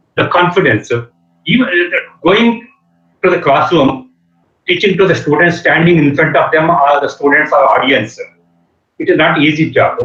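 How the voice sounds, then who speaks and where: A man speaks with a Telugu accent at a moderate pace. His pitch is fairly high, with ordinary variation. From India, Andhra Pradesh. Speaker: engineering professor. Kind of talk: lecture. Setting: video call. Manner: halting, many fillers. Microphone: network connectivity problem.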